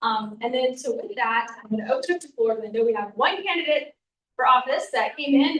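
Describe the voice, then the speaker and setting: Here a woman talks at a very fast pace. Her pitch is high, with ordinary variation. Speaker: neighborhood association meeting organizer. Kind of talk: meeting announcements.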